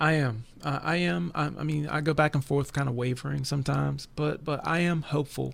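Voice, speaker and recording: An American man with an ordinary speaking voice talks at a fairly quick pace and a fairly high pitch, with ordinary pitch variation, very even loudness and hardly any pauses. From West Virginia. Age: 40s. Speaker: prayer ministry leader. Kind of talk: religious discussion podcast. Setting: recorded broadcast.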